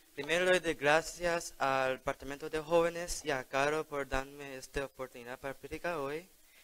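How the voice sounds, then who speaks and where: A man with a fairly high pitch and an English accent, moderate pace, fairly even intonation, hardly any pauses. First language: English (speaking Spanish). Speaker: lay preacher. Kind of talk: sermon. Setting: church.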